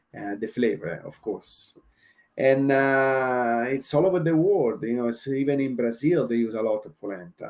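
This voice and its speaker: In an Italian accent, a man talks with a dark, mellow tone. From Italy. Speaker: chef. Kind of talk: casual chat. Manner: halting, many fillers.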